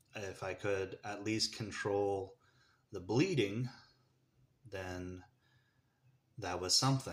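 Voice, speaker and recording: Speaking very slowly with an American accent, a man with a fairly low pitch keeps his intonation fairly even, leaves long, frequent pauses, and swings widely in loudness. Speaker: vlogger sharing personal story. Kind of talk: personal testimony. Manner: halting, holding back tears.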